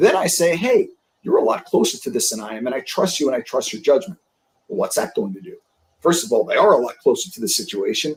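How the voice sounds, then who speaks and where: Delivered at a very fast pace in a New York accent, the speech has big swings in loudness. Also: man. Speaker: sales leadership coach. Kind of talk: interview on a live stream.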